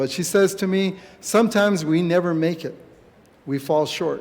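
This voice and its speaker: A man's high voice at a moderate pace with ordinary pitch variation and audible room echo. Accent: American. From San Carlos Apache reservation, Arizona. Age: 60s. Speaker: Apache community leader and activist. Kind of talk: speech at a church gathering. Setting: church event with audience.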